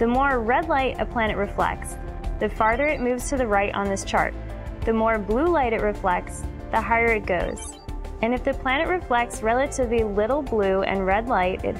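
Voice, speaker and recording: A woman at a moderate pace over clear music in the background. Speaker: scientist. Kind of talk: science documentary narration. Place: studio.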